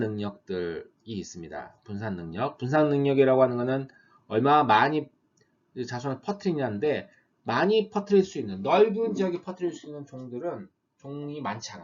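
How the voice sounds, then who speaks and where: At a moderate pace, a man talks with a fairly high pitch. His pitch swings very widely and his loudness shifts a lot. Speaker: university lecturer. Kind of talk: lecture.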